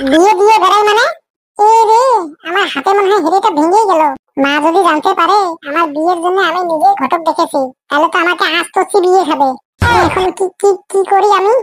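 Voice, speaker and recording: A woman speaks in a cartoonish character voice with an extremely high pitch. Her pace is moderate and her loudness very even. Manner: insistent, dramatic.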